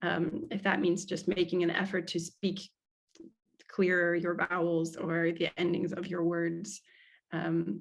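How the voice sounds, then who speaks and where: Her pitch fairly low and her intonation monotone and flat, a woman talks at a fairly slow pace. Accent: American. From US Midwest, Cincinnati. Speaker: speaking coach. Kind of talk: webinar Q&A answer.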